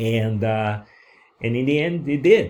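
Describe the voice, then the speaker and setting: A man with a Brazilian accent, fairly low in pitch, with a dark, mellow tone on a very clean recording with a silent background. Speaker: online course creator. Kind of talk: course lecture. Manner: halting, many fillers.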